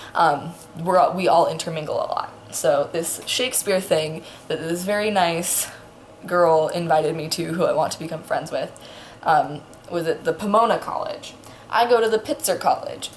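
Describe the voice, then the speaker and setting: A quiet voice at a moderate pace over noticeable background noise. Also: woman. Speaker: vlogger. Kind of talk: casual storytelling vlog.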